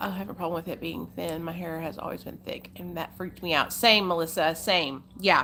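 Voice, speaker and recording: Speaking in an American accent, a woman delivers her words at a fairly quick pace with an animated tone. Her voice is fairly low in pitch, with a bright, sharp tone. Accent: hillbilly country. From Arkansas, US South. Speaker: live streamer. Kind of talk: casual chat. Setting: live stream.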